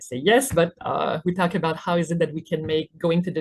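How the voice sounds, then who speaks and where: A woman's somewhat breathy voice with a Quebec accent, fairly low in pitch with ordinary variation. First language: French. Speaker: physiotherapist. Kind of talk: webinar presentation. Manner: hesitant with fillers.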